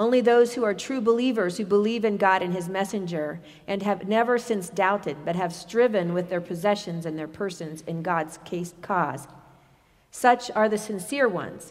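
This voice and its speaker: A woman with an ordinary speaking voice, moderate pace and ordinary pitch variation. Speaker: scripture reader. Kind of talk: reading aloud. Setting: church.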